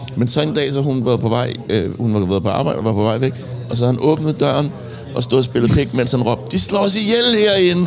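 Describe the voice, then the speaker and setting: A man's voice with very wide pitch swings and very even loudness, over music in the background, with audible room echo. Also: medium pitch for a man, fairly quick pace. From Copenhagen, Denmark (Indre By, Christianshavn). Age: 40s. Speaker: music producer and musician. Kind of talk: casual chat. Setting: pub.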